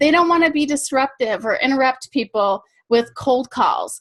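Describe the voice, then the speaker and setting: An animated tone in an American accent. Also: woman, quiet background. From Michigan, US Midwest. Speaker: sales coach. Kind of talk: webinar presentation. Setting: webinar call. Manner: fast.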